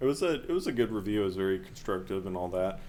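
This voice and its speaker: There is audible room echo. A man speaks at a fairly low pitch. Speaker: game developer streamer. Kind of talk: interview. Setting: live stream.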